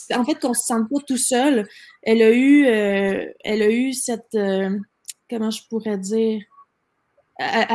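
A rather unhurried woman, pitched fairly high, her pitch varying in a normal way. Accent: Quebec. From Quebec City, Quebec. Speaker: entrepreneur. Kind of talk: interview.

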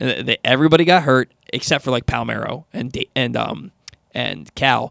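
A man talks with a plain, everyday voice at a medium pitch. His ordinary pitch variation comes through in a dry, close sound with no echo. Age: 30s. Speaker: sports radio host. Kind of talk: sports talk radio. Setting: studio.

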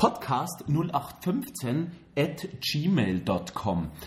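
Very wide pitch swings run through the man's speech. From Bavaria, Germany. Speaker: podcast co-host. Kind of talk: casual chat. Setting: studio, hosts face each other.

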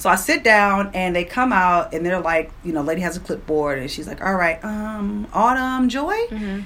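At a moderate pace with hardly any pauses, a woman with an American accent and a plain, everyday voice speaks at a medium pitch, using lively intonation and big swings in loudness. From Prince George's County, Maryland, US. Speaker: radio personality. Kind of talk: interview, personal story.

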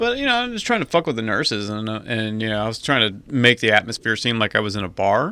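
A man with a medium pitch rattles along at a very fast pace, with fairly even intonation and hardly any pauses. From Atlanta, Georgia. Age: 40s. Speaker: podcast co-host. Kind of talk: casual chat.

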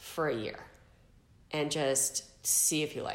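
With a Californian accent, a woman talks in a very deep, low pitch, and audible room echo surrounds her voice. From San Diego, California. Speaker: podcast guest, former mortgage banker. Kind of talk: interview, casual storytelling.

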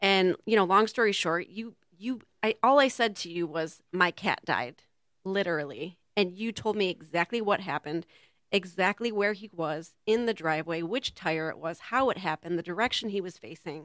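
On a very clean recording with a silent background and a dry, close sound with no echo, a woman has an unremarkable speaking voice. She talks at a moderate pace in a medium pitch with ordinary pitch variation. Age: 40s. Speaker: raw food chef and teacher. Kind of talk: casual interview chat. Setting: community TV studio.

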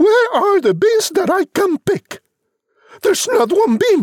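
In a put-on character voice, a woman speaks slowly at an extremely high pitch with big pitch swings and a slightly mellow tone, the sound dry and close with no echo.

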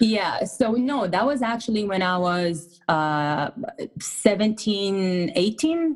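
Noticeable background noise sits behind a woman speaking at a very slow pace. Her medium-pitched voice swings very widely in pitch. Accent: Israeli. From Israel. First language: Hebrew. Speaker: fitness coach. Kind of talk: interview.

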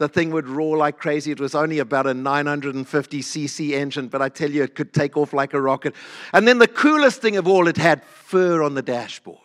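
Fairly high in pitch, a man talks at a fairly quick pace with hardly any pauses and ordinary pitch variation. His tone is animated and warm, and the sound is dry and close with no echo. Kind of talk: sermon with personal anecdotes. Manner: animated, humorous storyteller; warm, conversational.

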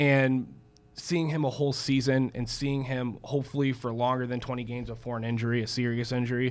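Using a normal speaking voice, a man talks at a moderate pace with medium pitch and fairly even intonation. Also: very clean recording, silent background. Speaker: sports broadcast host. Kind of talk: casual sports talk show.

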